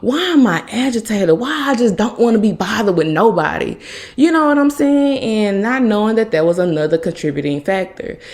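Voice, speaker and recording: A woman with a fairly high pitch talks at a fairly quick pace, her pitch swinging very widely while her loudness stays very even, over noticeable background noise. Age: 30s. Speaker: podcast host. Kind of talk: personal testimony.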